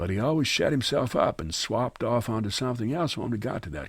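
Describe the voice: This is plain reading aloud. The words are read straight from the text.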